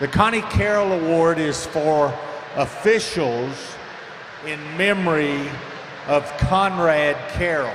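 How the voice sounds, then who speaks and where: A man with a Southern US accent speaks at a very slow pace with long, frequent pauses. There is noticeable background noise and audible room echo. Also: fairly high pitch for a man, ordinary pitch variation. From US South, upstate South Carolina. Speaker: swim meet official. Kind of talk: award presentation speech.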